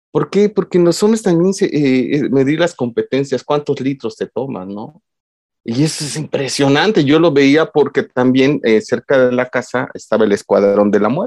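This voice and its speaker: A man's fairly high voice at a moderate pace, with lively intonation and a dry, close sound free of echo. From Mexico, Oaxaca. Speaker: psychologist and lecturer on masculinities. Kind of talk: casual interview chat. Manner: halting, with many fillers.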